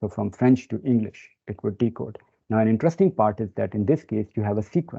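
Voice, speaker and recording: Speaking with a non-native accent, a man uses a fairly low pitch. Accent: non-native speaker. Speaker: data science expert presenter. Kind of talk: webinar presentation. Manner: hesitant with many fillers.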